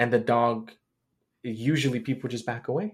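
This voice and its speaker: Speaking at a moderate pace with fairly even intonation, a man has an ordinary speaking voice at a medium pitch. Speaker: podcast host. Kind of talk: casual interview chat.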